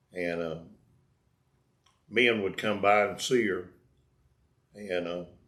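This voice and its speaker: With a North Carolina accent, a man speaks very slowly in a fairly low pitch, leaving long, frequent pauses. His intonation stays fairly even. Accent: Southern US, North Carolina. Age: old. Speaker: storyteller. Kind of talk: personal life story told casually.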